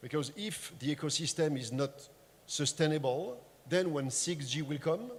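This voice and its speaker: A somewhat breathy male voice with a French accent, fairly high in pitch, with ordinary pitch variation. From France. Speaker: tech industry panelist. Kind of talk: panel discussion.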